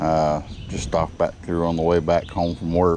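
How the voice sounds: In a low pitch with a slightly mellow tone, a man talks at a moderate pace with monotone, flat intonation.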